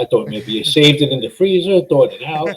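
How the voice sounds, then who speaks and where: A man's plain, everyday voice, fairly high in pitch, with ordinary variation and a fairly quick pace. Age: 60s. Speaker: caller. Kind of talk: call-in chat. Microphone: laptop.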